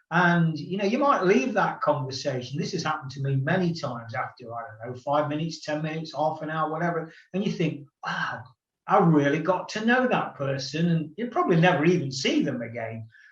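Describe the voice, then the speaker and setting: A man talks at a fairly quick pace. Room echo is audible around his voice. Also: fairly high pitch for a man, lively intonation. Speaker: podcast host. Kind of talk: casual chat. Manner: halting.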